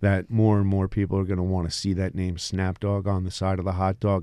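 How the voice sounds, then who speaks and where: A man's very deep, low voice with a dark, mellow tone and an American accent, at a fairly quick pace, on a very clean recording with a silent background. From New Jersey Shore. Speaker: food business founder. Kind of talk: radio interview. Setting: radio studio. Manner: halting, with repeated words and fillers.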